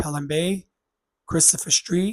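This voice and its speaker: A man with a New York accent and a somewhat breathy voice. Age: 60s. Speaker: vlogger sharing health story. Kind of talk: personal vlog testimony. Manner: halting, many fillers.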